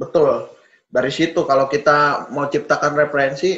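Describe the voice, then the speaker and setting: With a strong Sundanese accent, a man talks at a moderate pace in a fairly high pitch and ordinary pitch variation. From West Java (Sundanese). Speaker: car sales executive. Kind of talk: interview conversation.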